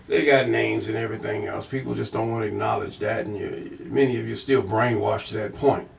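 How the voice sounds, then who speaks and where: A man at a fairly quick pace, amid noticeable background noise. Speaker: bible teacher. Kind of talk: scripture reading with commentary. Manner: casual, conversational.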